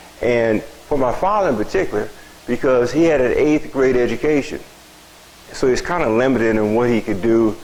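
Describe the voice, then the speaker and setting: Over noticeable background noise, a man with an American accent talks at a fairly quick pace, medium in pitch with lively intonation. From US Midwest, Springfield, Illinois. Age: 70s. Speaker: local community elder sharing memories. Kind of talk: storytelling talk to audience.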